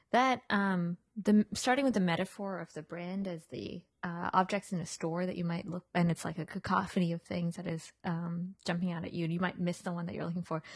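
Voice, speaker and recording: Fairly quick and somewhat breathy, a woman talks at a fairly low pitch with ordinary pitch variation. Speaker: podcast host and interviewer. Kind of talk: casual chat. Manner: playful, laughing.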